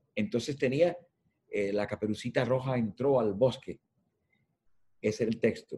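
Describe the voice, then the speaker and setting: A man speaks at a medium pitch and moderate pace, somewhat breathy, with a dark, mellow tone. His pitch varies in an ordinary way. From Cuba. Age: 70s. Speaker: editorial design consultant and journalism professor. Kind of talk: interview.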